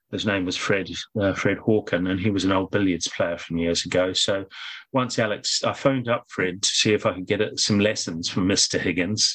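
With a New Zealand accent, a man of fairly low pitch speaks at a moderate pace and with fairly even intonation. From New Zealand, Auckland North Shore. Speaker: former professional snooker player. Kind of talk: interview.

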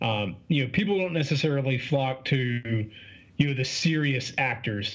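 The voice sounds somewhat breathy, with ordinary pitch variation. The background is quiet. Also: man. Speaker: podcaster and fitness coach. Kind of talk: casual interview chat. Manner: fast talker; casual, profane, animated.

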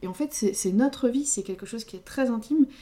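Her voice carries a dark, mellow tone. This woman talks at a moderate speed. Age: 30s. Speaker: podcast co-host. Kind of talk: casual chat. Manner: halting.

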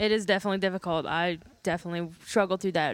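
A woman's plain, everyday voice, medium in pitch, at a fairly quick pace. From US North. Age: 30s. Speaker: interview guest. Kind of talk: casual interview.

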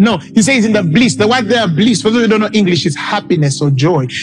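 Over music in the background, a man with a Ugandan accent speaks in a high voice with lively intonation. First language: Luganda. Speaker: pastor. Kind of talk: sermon. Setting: church.

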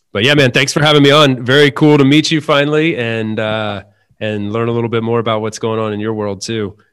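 A man with an American accent and an unremarkable speaking voice, medium in pitch, with ordinary pitch variation and a moderate pace, in a very clean recording with a silent background. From US South, North Carolina. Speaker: remote worker and podcaster. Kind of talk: casual interview chat.

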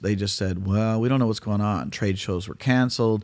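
A man with an American accent has an unremarkable speaking voice. His pitch is fairly low, with ordinary variation. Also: very clean recording, silent background. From California. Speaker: tribute singer and musician. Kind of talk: casual interview.

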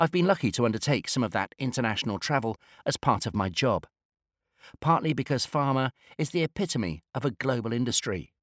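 With a British accent, a man talks at a fairly quick pace in a medium pitch with lively intonation, the sound dry and close with no echo on a very clean recording with a silent background. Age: 50s. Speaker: industry analyst. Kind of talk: scripted narration.

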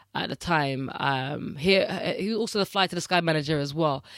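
At a fairly quick pace, a woman with a fairly low pitch and ordinary pitch variation speaks in a plain, everyday voice, in a very clean recording with a silent background. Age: 30s. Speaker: podcast co-host. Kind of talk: casual chat.

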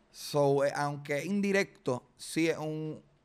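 A man speaks with ordinary pitch variation. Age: 30s. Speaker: comedian. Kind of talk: casual interview. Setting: studio.

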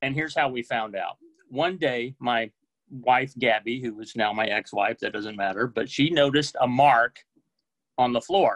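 A man with an ordinary speaking voice and an American accent, medium in pitch with ordinary pitch variation, at a moderate pace, in a dry, close sound with no echo. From US South (Oklahoma, Texas, Mississippi). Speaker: book editor, storyteller. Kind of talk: personal storytelling. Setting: video call.

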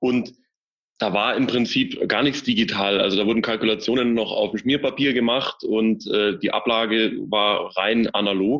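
In an ordinary speaking voice, a man talks at medium pitch and a moderate pace, keeping very even loudness and fairly even intonation. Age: 30s. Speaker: managing director of a packaging wholesaler. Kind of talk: interview.

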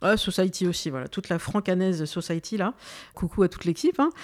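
Fairly quick and medium in pitch with ordinary pitch variation, a woman speaks in an ordinary speaking voice on a very clean recording with a silent background and a dry, close sound with no echo. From France, Algerian heritage. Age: 40s. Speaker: podcast host. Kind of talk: interview.

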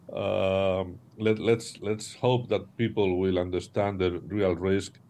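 With a Spanish accent, a man speaks at a very slow pace in a dark, mellow tone at a fairly low pitch. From Spain. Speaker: former national security advisor, strategy consultant. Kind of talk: interview discussion. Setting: remote video call. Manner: halting, repeats words.

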